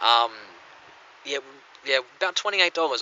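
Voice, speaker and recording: Speaking with an Australian accent, a man goes at a fairly quick pace with ordinary pitch variation over noticeable background noise. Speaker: coin collector vlogger. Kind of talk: casual vlog talk. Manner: halting, many fillers.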